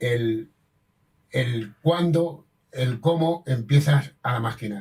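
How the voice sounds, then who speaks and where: A man's somewhat breathy, medium-pitched voice at a very slow pace, with ordinary pitch variation. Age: 80s+. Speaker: master damascene craftsman. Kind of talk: interview. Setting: at his home. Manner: halting, with frequent repetitions.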